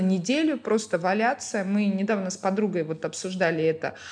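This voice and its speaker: Medium-pitched, somewhat breathy female speech at a moderate pace over a quiet background. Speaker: restaurant founder and food blogger. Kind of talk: casual podcast interview.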